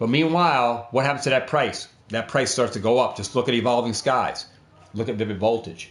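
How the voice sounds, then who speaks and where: With an unremarkable speaking voice, a man talks fairly quickly at a medium pitch and ordinary pitch variation. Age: 50s. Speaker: trading card investing YouTuber. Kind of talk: tutorial. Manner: casual, repetitive, conversational.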